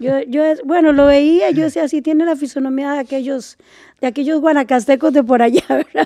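A woman with a high pitch speaks fairly quickly in a dark, mellow tone. Her intonation stays fairly even, and the sound is dry and close with no echo. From Costa Rica, Liberia, Guanacaste. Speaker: composer and music teacher. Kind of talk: casual interview. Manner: halting, with frequent repetitions.

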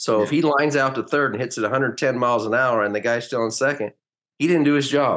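Against a quiet background, a man talks at a fairly quick pace. He has a plain, everyday voice with ordinary pitch variation. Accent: American. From US West Coast, Hayward area of California, later rural Oklahoma. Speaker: former professional baseball player. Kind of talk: casual interview.

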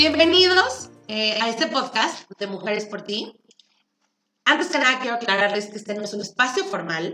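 A woman at a moderate pace, fairly high-pitched, with very wide pitch swings and big swings in loudness. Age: 30s. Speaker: podcast co-host, insurance saleswoman. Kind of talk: casual chat.

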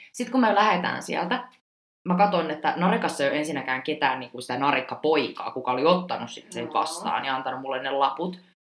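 Very deep and low in pitch, a woman talks at a very fast pace with lively intonation and big swings in loudness. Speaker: podcast host, former exchange student. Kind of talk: casual chat. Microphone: poor sound quality.

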